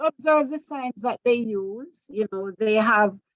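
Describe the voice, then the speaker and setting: A woman's fairly high voice in a dry, close sound with no echo. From Jamaica. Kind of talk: training seminar lecture.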